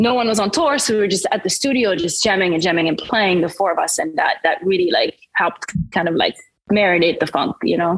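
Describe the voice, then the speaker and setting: A woman in a French accent at a fairly quick pace, medium in pitch, with lively intonation and very even loudness. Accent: French, milder than it used to be. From France, Paris suburbs (French-Caribbean family). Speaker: singer-songwriter. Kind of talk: interview. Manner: casual, many fillers.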